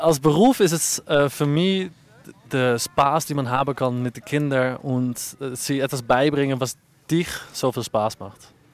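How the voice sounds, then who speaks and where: A man speaks very slowly with a Dutch accent, his fairly high voice moving with ordinary pitch variation. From Netherlands. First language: Dutch (speaking German). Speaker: ski instructor. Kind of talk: interview.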